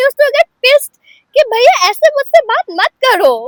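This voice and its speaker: This woman speaks with an Assamese accent at an extremely high pitch. Her tone is animated. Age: 20s. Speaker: student. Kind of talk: interview testimony.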